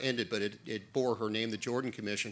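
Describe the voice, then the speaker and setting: Loud and bright with a sharp tone, a man speaks at medium pitch with fairly even intonation. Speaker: former immigration judge, policy fellow. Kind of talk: panel discussion.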